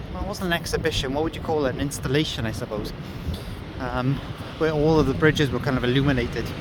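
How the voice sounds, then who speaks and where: In a Welsh accent, a man talks at a very fast pace and fairly high pitch with ordinary pitch variation, amid audible room echo and noticeable background noise. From Wales. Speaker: vlogger. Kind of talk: walking vlog narration. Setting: outdoors, walking along the river. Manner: casual, hesitant with fillers.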